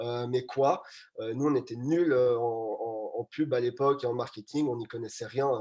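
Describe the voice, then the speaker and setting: Moderate pace and fairly even intonation over a quiet background. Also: man. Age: 20s. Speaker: startup co-founder. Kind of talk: live panel talk. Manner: hesitant, many fillers.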